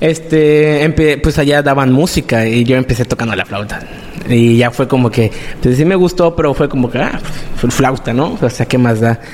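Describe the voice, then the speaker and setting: Over noticeable background noise, a man with a Mexican accent talks at a moderate pace and medium pitch, with ordinary pitch variation. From Mexico, Quintana Roo (Playa del Carmen). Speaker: music producer and songwriter. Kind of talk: casual interview.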